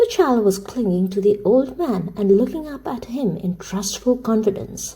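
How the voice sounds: The speaker reads. The voice is a natural reading voice.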